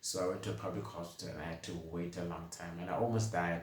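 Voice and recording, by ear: Low-pitched and fast, a man speaks with little pitch movement amid strong room echo.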